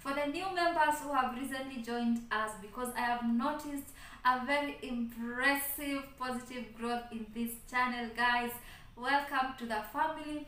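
With audible room echo, a woman speaks at a high pitch and a moderate pace. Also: fairly even intonation. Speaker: channel host. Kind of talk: casual vlog chat. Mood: grateful and cheerful. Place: home room. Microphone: phone near.

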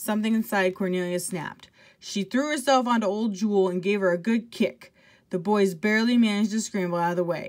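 Text read in an unforced reading voice

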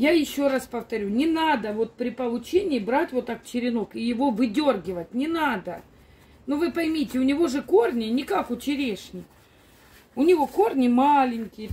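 At a moderate pace, a woman talks in a high voice with a dark, mellow tone and lively intonation. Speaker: plant grower vlogger. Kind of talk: casual vlog chat. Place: garden. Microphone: phone near.

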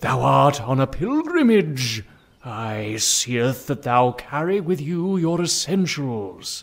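The voice is a put-on character voice. Its delivery is very slow. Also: man, medium pitch for a man. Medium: audio drama. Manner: archaic, preachy.

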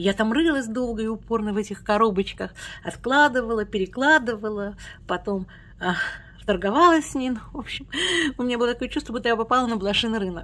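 A woman with a fairly high pitch talks at a very fast pace. She takes long, frequent pauses, and her pitch varies in an ordinary way. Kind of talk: casual talk to camera. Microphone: phone near.

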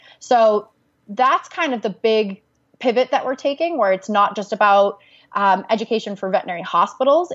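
A woman with an ordinary speaking voice talks at a fairly quick pace. Her intonation is lively. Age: young. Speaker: social media and branding consultant. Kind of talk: interview.

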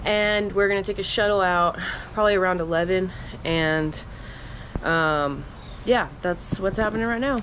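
Fairly slowly and with ordinary pitch variation, a woman speaks over light background noise. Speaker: thru-hiker vlogger. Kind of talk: casual vlog chat. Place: home room. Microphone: phone near.

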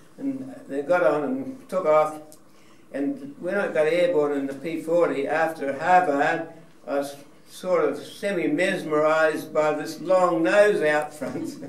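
Through noticeable background noise and audible room echo, a man with a New Zealand accent speaks at a fairly slow pace, his fairly high pitch varying in an ordinary way. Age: 90s. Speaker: war veteran. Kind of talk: talk to an audience. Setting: museum hall with audience. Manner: halting.

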